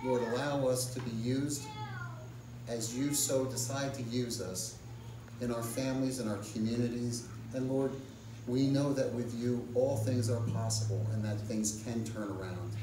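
Amid noticeable background noise, a man speaks at a moderate pace in a monotone, flat intonation. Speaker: pastor or lay preacher leading community prayer. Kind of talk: sermon-style message and fervent public prayer; fervent intercessory prayer, pleading for national revival. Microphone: camera far.

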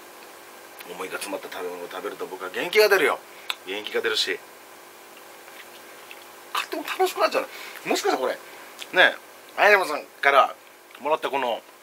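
With light background noise behind him, a man talks at a moderate pace with big swings in loudness. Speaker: vlogger. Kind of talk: casual vlog chat. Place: home room. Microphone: phone near.

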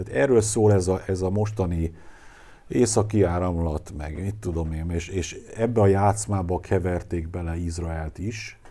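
Slow-paced and somewhat breathy, a man with a very deep, low pitch and a dark, mellow tone speaks with ordinary pitch variation amid audible room echo. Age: 60s. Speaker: lecturer on anthroposophy. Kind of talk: lecture. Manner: halting.

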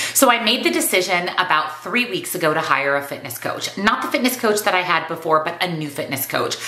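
A woman with a fairly low pitch talks at a fairly quick pace, her pitch swinging very widely and hardly any pauses breaking her speech amid audible room echo. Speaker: weight loss vlogger and nutrition coach. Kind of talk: casual vlog monologue. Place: home room.

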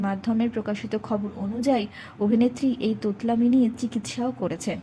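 Pitched fairly high, a woman talks in a normal speaking voice with ordinary pitch variation. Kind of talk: entertainment news narration.

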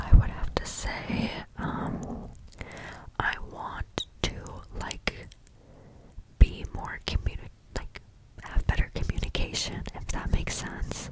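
Over loud background noise, a soft-spoken woman whispers at a very slow pace with long, frequent pauses. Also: dry sound with no echo. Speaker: content creator. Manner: close-mic soft ASMR whisper. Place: home room. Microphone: studio mic.

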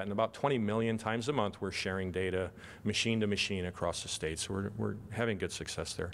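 Speaking at a fairly quick pace, a man with a fairly low pitch uses ordinary pitch variation. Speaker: health tech executive, physician; presenter. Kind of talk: panel presentation. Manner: fast. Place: hall.

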